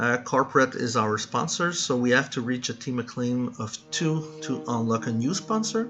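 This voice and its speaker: A man with a Quebec accent speaks at a medium pitch with hardly any pauses. Background noise is noticeable. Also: ordinary pitch variation, moderate pace. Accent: French Canadian accent in English. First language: French. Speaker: gaming YouTuber. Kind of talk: gameplay commentary. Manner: halting, frequent fillers and restarts.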